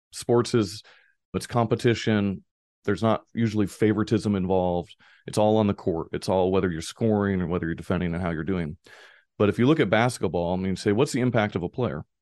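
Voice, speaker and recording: Recorded dry and close with no echo over a quiet background, a man with an ordinary speaking voice and fairly low pitch talks at a fairly quick pace with ordinary pitch variation. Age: 40s. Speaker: author and business professor. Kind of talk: interview.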